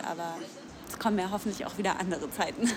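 A woman's medium-pitched, normal speaking voice carries fairly even intonation. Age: 20s. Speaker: tailor and union youth representative. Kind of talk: interview. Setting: café.

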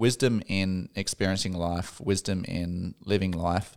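Talking at a fairly slow pace, a man uses a fairly low pitch. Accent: Australian. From Australia, Darwin. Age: 30s. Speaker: psychology trainee, former engineer. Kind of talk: casual interview.

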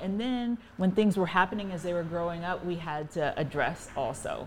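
A woman with an American accent and a normal speaking voice talks at a moderate pace and medium pitch, with ordinary pitch variation. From US, Virginia (Fairfax County). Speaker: married guest, mother. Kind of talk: casual interview conversation.

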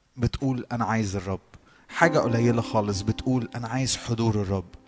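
A man with an Egyptian accent speaks with ordinary pitch variation. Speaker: worship leader. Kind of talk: devotional exhortation.

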